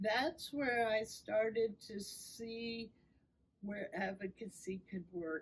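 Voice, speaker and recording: The woman's voice is somewhat breathy. She talks very slowly. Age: 60s. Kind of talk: podcast interview.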